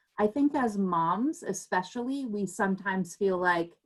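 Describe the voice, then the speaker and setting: A woman speaks very slowly in a medium pitch with ordinary pitch variation. The recording is very clean, with a silent background. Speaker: parent advocate presenter. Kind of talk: presentation.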